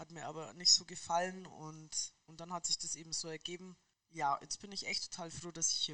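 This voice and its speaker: A woman with a fairly low pitch and a bright, sharp tone speaks at a fairly quick pace. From Munich, Bavaria. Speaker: football club laundry worker. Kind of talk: casual interview.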